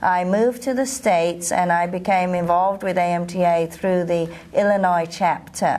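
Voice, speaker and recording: A woman speaks in a London accent. Her pitch is fairly low and her intonation fairly even. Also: moderate pace, very even loudness. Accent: British English (London). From London, England. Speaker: professional association president, osteopath. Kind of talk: interview. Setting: at a convention.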